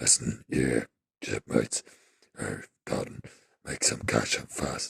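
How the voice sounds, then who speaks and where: A man does a put-on character voice, gruff and raspy. His pitch is very deep and low, and the pace is fairly slow. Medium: read story. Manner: gruff pirate talk.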